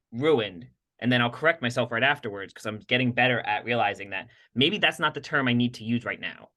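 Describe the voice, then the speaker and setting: The tone is animated, with ordinary pitch variation. Delivery comes at a very fast pace. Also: man, medium pitch for a man. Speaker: podcast co-host, health practitioner working with patients. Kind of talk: casual conversational podcast chat.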